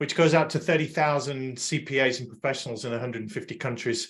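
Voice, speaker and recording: Speaking at a fairly quick pace with an English accent, a man has a fairly high pitch and ordinary pitch variation on a very clean recording with a silent background. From England. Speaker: podcast host and accounting-industry consultant. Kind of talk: panel discussion.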